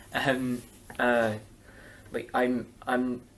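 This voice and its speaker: In a Scottish accent, a man talks at a medium pitch. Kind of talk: interview answer.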